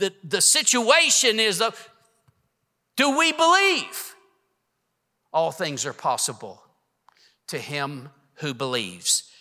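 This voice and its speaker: A man speaks in a raised, projected voice, high-pitched with a bright, sharp tone and very wide pitch swings. His pace is very slow, with long, frequent pauses. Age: 60s. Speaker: preacher. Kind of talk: sermon. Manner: animated.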